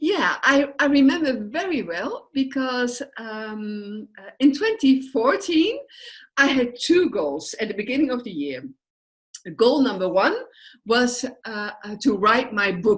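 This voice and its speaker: A high-pitched woman with a Dutch accent, very wide pitch swings and a very slow pace. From Netherlands. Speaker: social work entrepreneur. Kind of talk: interview. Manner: hesitant, many fillers.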